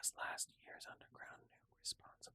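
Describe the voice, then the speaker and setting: Whispering at a moderate pace. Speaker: ASMR gaming creator. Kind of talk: ASMR reading of game lore texts for sleep. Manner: whispered.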